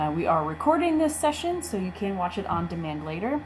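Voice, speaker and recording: This woman's speech comes with noticeable background noise behind it. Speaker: small business development center host. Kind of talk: webinar introduction.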